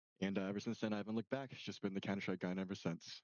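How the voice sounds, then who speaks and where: A man's unremarkable speaking voice, fairly low in pitch with fairly even intonation. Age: 20s. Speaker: esports player. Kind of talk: casual chat.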